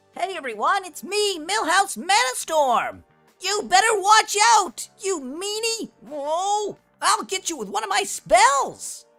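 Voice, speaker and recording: This is a put-on character voice, squeaky and extremely high in pitch. It moves at a fairly slow pace with faint music in the background. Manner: cutesy, threatening.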